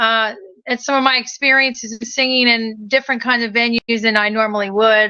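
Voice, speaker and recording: A woman with a slight Maryland accent talks at a fairly quick pace in a fairly high, bright, sharp voice with monotone, flat intonation. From Maryland, Hagerstown. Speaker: inspirational singer. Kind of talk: casual interview chat.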